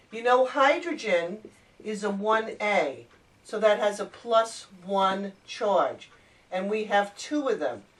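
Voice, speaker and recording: Over noticeable background noise, a woman speaks very slowly at a fairly high pitch with ordinary variation. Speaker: chemistry teacher. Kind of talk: tutorial.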